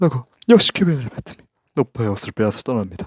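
The sound is dry and close with no echo as a man talks at a fairly quick pace in a medium pitch. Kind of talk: ASMR reading of a book report.

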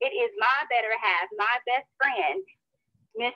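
A woman speaks in a high pitch with an American accent, her pitch swinging very widely. The sound is dry, with no echo. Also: quiet background. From North Carolina. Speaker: co-host. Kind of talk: call hosting. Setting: phone call. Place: home room. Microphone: video call.

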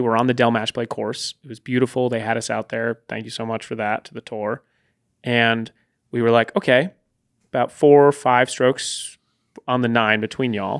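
Against a quiet background, a man speaks at medium pitch. His pace is fairly quick and his intonation fairly even. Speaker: producer and podcast co-host. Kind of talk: casual chat. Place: studio. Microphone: studio mic.

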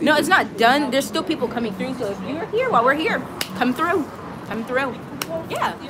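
Against loud background noise, a woman with a high pitch and lively intonation talks at a fairly quick pace, with long, frequent pauses. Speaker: travel vlogger. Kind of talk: casual chat. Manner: playful. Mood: upbeat, warm. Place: garden. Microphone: phone near.

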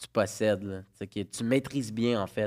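A man with an ordinary speaking voice, fairly low in pitch with fairly even intonation, against a quiet background. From Quebec, Laval; Quebec. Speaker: parent guest; guest. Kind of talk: casual chat. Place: studio. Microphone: studio mic.

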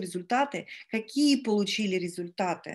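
Over a quiet background, a woman speaks with a fairly high pitch. Her pitch variation is ordinary. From Estonia. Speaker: network marketing team leader. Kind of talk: live webinar presentation. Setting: online webinar. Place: home room. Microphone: video call.

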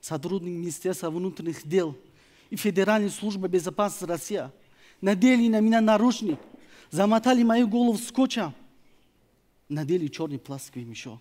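Pausing long and often, a man with a Tajikistan accent talks at a moderate pace in a high, dark and mellow voice with lively intonation. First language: Tajik (speaking Russian). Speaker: opposition activist; speaker. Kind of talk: prepared speech. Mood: earnest, serious. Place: stage. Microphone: headset.

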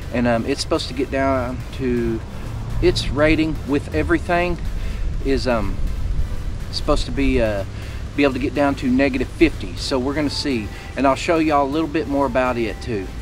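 A man speaks fairly quickly while music plays behind him. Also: dry sound with no echo. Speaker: outdoor vlogger. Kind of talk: casual vlog chat. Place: open country. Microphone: camera far.

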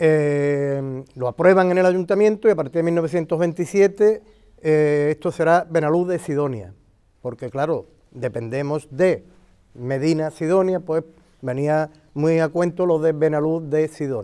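Against a quiet background, a man with a fairly high pitch talks at a fairly slow pace. His tone is dark and mellow, with ordinary pitch variation. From Andalusia. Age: 60s. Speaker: local historian and retired teacher; retired teacher. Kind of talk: interview explanation of local history. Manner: halting, with many fillers. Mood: thoughtful, calm. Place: garden. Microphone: lapel.

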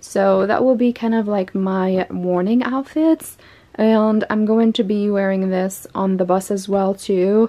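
The pace is fairly slow as a woman speaks. Ordinary pitch variation runs through her voice. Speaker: fashion vlogger. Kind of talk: casual vlog chat. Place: home room. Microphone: phone near.

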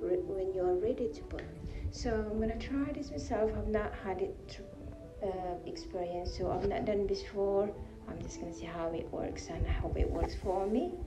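Clear music sounds in the background. A woman speaks over it at a moderate pace. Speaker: home DIY vlogger. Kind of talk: tutorial. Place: bathroom. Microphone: phone near.

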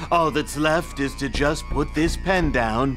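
Put-on character voice at a fairly slow pace over clear background noise. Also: man. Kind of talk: hard-boiled voice-over parody. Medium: comedy sketch. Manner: grim, brooding, melodramatic.

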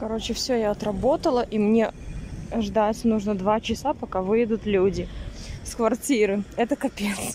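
The speech moves at a fairly slow pace with fairly even intonation, a dry sound with no echo and light background noise. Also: woman. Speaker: vlogger. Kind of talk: casual vlog chat. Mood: amused, slightly annoyed. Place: street. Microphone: phone near.

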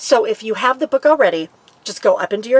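Here a woman talks at a fairly quick pace. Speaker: RV lifestyle vlogger. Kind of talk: casual vlog chat. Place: home room.

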